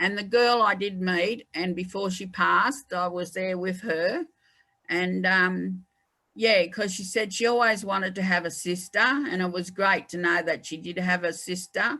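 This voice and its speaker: Her tone is bright and sharp. This woman speaks at a fairly slow pace. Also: medium pitch for a woman, ordinary pitch variation. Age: old. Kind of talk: interview about her life. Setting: online conversation.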